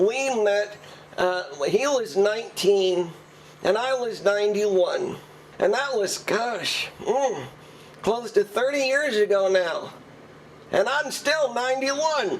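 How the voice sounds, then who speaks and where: Using a put-on character voice, a man speaks at a high pitch and a fairly slow pace. He leaves long, frequent pauses, with clear background noise behind him. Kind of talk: comic interview answer.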